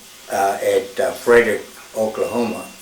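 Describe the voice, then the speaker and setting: With noticeable background noise and audible room echo, a man talks at a moderate pace. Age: 80s+. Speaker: military veteran and former smokejumper. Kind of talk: oral history interview. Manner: halting.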